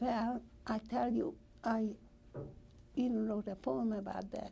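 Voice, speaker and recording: Fairly high-pitched yet dark and mellow in tone, a woman speaks fairly slowly and somewhat breathily with ordinary pitch variation. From Hungary. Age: 80s+. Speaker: Holocaust survivor. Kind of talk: oral history interview.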